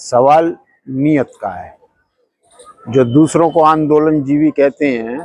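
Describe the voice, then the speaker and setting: The sound is dry and close with no echo as a man speaks in a fairly high pitch. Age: 60s. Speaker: protester. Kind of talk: street interview. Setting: outdoors at a protest.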